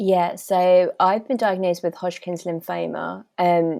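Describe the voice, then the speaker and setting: A woman speaks at a fairly slow pace with a British accent and medium pitch. The recording is very clean, with a silent background. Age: 20s. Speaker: cancer awareness ambassador. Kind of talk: podcast interview.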